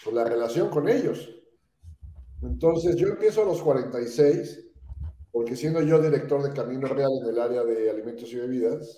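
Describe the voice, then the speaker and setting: There is ordinary pitch variation in this man's medium-pitched voice. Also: moderate pace. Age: 60s. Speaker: entrepreneur and speakers bureau founder. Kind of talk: podcast interview. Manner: hesitant fillers.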